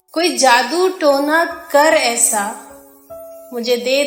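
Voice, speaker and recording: A woman's high-pitched voice with lively intonation, music in the background. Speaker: radio presenter. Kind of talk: poetry reading. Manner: emotional, pleading.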